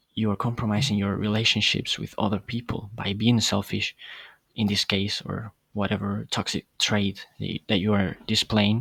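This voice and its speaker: With a non-native accent, a man speaks at a moderate pace in monotone, flat intonation on a very clean recording with a silent background. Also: fairly low pitch for a man. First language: not English. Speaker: podcast host. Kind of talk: casual monologue. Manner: hesitant, many fillers.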